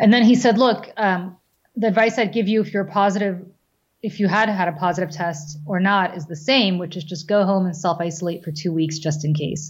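A woman speaks at a fairly quick pace in a somewhat breathy voice of medium pitch with ordinary pitch variation. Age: 40s. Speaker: business owner and mother. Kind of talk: casual chat.

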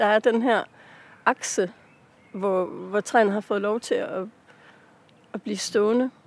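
A woman speaks very slowly with a fairly high pitch and a monotone, flat delivery, leaving long, frequent pauses, and the sound is dry and close with no echo. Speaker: author. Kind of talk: casual interview. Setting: outdoors in a park. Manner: hesitant, many fillers.

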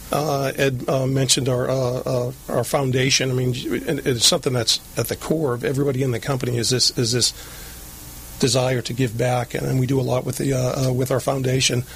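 At a moderate pace and medium pitch, a man with an American accent speaks in a monotone, flat intonation over noticeable background noise. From Lynn, Massachusetts. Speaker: HR director, Marine veteran. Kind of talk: interview. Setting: studio.

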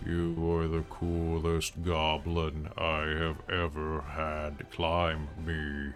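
Clear music plays behind a rumbling, put-on character voice that moves at a very slow pace with hardly any pauses. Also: man. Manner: friendly, slow.

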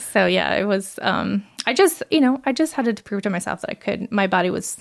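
An animated woman with a medium pitch and vocal fry at a moderate pace, in a very clean recording with a silent background. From Brazil. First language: Portuguese. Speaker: website designer and mother. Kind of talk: casual interview. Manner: animated, laughs often.

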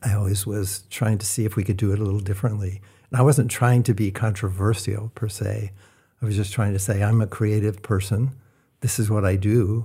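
A man with a fairly low pitch and a dark, mellow, somewhat breathy tone speaks at a fairly quick pace. His intonation is monotone and flat, and the recording is very clean with a silent background. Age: 60s. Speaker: architect. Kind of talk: casual interview. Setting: studio.

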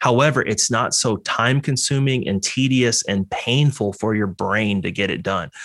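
A man with an American accent and a normal speaking voice talks at a moderate pace in a medium pitch with ordinary pitch variation, on a very clean recording with a silent background. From Texas. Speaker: veterinarian. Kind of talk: interview.

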